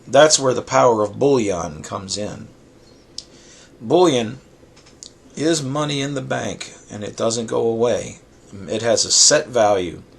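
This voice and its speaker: A man at a medium pitch and fairly slow pace, with lively intonation, big swings in loudness, long frequent pauses and noticeable background noise. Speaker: silver collector vlogger. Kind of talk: casual talk to camera.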